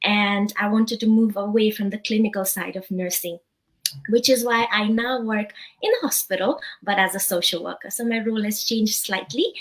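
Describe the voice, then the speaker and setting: A woman's fairly high, somewhat breathy voice at a moderate pace, with fairly even intonation. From Nepal. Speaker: social worker and digital business owner. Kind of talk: interview. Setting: live stream.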